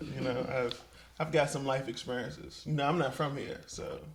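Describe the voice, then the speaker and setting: An American-accented man talks at a moderate pace, with noticeable background noise and audible room echo. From mixed: Miami, Richmond, Colorado, DC area. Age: 30s. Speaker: entrepreneur. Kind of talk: casual chat.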